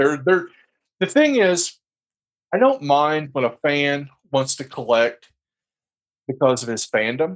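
Pauses are long and frequent in this fairly slow delivery. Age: 40s. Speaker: action figure podcast co-host. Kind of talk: casual chat.

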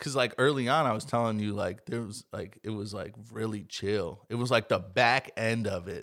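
A man's normal speaking voice at a moderate pace, with ordinary pitch variation and hardly any pauses. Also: medium pitch for a man. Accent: American. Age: 20s. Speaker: podcast host. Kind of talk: casual chat. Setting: home closet studio.

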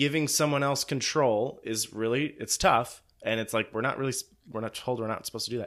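A man talks fairly quickly at a medium pitch with ordinary pitch variation, in an unremarkable speaking voice. The recording is very clean, with a silent background. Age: 20s. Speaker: church podcast host. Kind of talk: casual chat.

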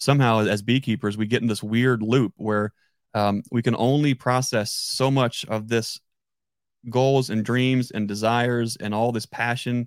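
At a fairly slow pace, a man speaks in a medium pitch with a monotone, flat intonation and a dry, close sound with no echo. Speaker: podcast host and beekeeper. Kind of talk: casual interview chat. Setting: live stream online video call.

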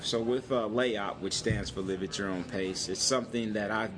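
With music in the background and audible room echo, the speaker uses an American accent and ordinary pitch variation. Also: man. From Michigan, Saginaw. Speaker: entrepreneur. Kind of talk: interview. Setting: coffee shop.

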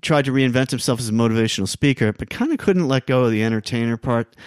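A man speaks in an ordinary speaking voice with an American accent, at medium pitch with ordinary pitch variation. The sound is dry and close with no echo, on a very clean recording with a silent background. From New York City (Queens). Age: 50s. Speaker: songwriter and musician. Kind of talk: casual chat.

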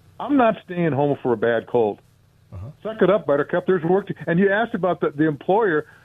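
High-pitched male voice with very wide pitch swings. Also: fairly quick pace. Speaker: radio caller. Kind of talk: call-in opinion. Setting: phone call.

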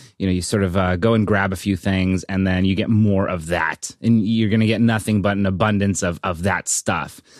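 A man's normal speaking voice, fairly low in pitch, at a moderate pace over a very clean recording with a silent background. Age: 30s. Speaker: tech podcast co-host. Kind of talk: casual chat.

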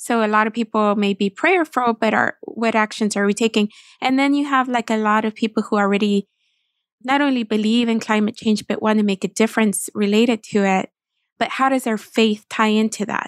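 A woman with an ordinary speaking voice and a fairly high pitch speaks with fairly even intonation and very even loudness, in a dry, close sound with no echo on a very clean recording with a silent background. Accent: American. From Texas. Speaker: nonprofit communications director. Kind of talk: interview.

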